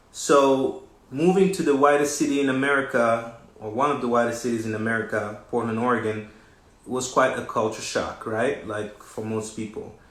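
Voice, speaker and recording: A man speaks at a medium pitch and a moderate pace, with ordinary pitch variation. Audible room echo and noticeable background noise surround him. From West Africa. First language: French. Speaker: recording artist and designer hosting a livestream. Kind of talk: live social media talk. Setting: livestream.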